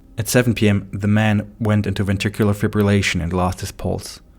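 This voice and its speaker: Over background music, a man talks at a fairly quick pace in a fairly low, monotone, flat voice. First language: not English. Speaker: medical doctor and narrator. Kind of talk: scripted narration; casual outro.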